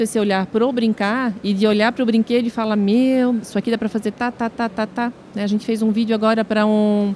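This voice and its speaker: A woman's fairly high voice in a southern Brazilian accent, fairly even in intonation and moderate in pace, with music in the background. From southern Brazil, Santa Catarina (Brusque). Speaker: social media influencer. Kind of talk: podcast interview.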